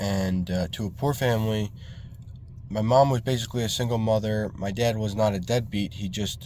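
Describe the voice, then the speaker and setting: Speaking at a moderate pace with a New York accent, a man uses a fairly low pitch and a dark, mellow tone. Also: fairly even intonation. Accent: New York area American. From New York State, Hudson Valley. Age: 20s. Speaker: vlogger, landscaping business owner. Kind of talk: casual vlog monologue. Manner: halting, many fillers.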